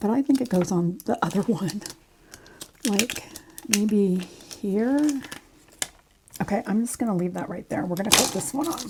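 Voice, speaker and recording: Soft-spoken, a woman talks at medium pitch and a moderate pace with lively intonation. Noticeable background noise is present. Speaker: crafting YouTuber. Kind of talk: craft tutorial. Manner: casual, chatty.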